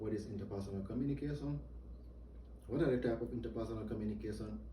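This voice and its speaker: A man talking at a very fast pace with a non-native accent, amid noticeable background noise and audible room echo. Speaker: soldier giving a briefing. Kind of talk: military training briefing. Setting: virtual, indoor.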